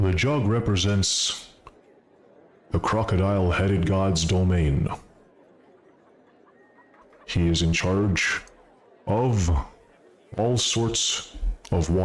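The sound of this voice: A man does a booming, put-on character voice at a fairly low pitch. He moves at a very slow pace with long, frequent pauses.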